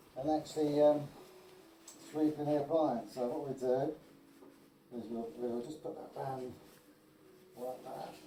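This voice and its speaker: A man at a fairly high pitch and fairly slow pace, with long, frequent pauses, big swings in loudness, fairly even intonation and noticeable background noise. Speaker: chimney sweep. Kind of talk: tutorial. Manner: halting.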